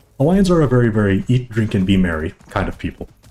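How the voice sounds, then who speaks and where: Music plays behind the speaker. He is a man talking at a fairly quick pace. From Hawaii, Oahu. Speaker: gaming streamer. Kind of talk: casual live-stream chat. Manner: relaxed, blunt, crass.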